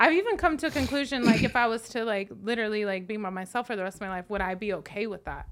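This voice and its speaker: A woman with an American accent, fairly high-pitched, at a very fast pace with lively intonation and hardly any pauses, over noticeable background noise. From Las Vegas, US. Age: 30s. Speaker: makeup artist and event host. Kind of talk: casual chat.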